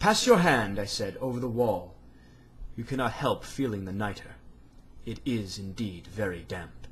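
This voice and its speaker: This man's medium-pitched voice is somewhat breathy, with ordinary pitch variation. He talks at a moderate pace, and audible room echo surrounds him. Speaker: amateur reader. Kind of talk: reading aloud. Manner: stammering.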